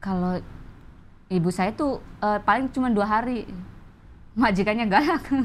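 Speaking at a moderate pace with fairly high pitch and ordinary pitch variation, the woman leaves long, frequent pauses over light background noise. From Banjarnegara, Central Java, Indonesia; Central Java, Indonesia. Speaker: stand-up comedian. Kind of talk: casual interview; interview answer. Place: studio. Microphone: lapel.

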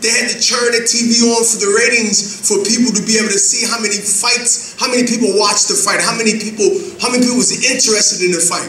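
With audible room echo and light background noise, a man speaks at a very fast pace in a high pitch with fairly even intonation. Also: hardly any pauses. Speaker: professional boxer. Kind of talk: press conference speech. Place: hall. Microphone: podium.

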